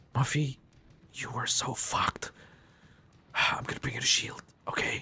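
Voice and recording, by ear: A man whispering in a put-on character voice at a moderate pace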